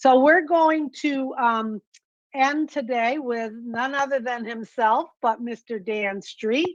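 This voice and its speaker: A woman's high voice at a very slow pace. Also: ordinary pitch variation. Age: 60s. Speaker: webinar host. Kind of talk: online business webinar.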